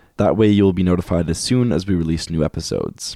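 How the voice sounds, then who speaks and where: A man with a Canadian accent, very deep and low in pitch, dark and mellow in tone, at a very fast pace, with a dry, close sound, no echo, and a very clean recording over a silent background. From Canada. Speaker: podcast co-host. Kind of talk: casual chat; scripted outro.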